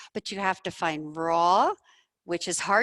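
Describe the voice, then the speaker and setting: A woman at a fairly slow pace, the sound dry and close with no echo. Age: 60s. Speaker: doctor and researcher presenting a study. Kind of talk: lecture. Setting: presentation room with audience, also streamed online. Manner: passionate.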